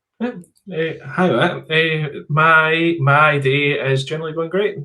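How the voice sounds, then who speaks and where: A man is speaking. He has a Scottish accent. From rural Scotland. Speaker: software company founder. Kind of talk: interview. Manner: halting, frequent fillers.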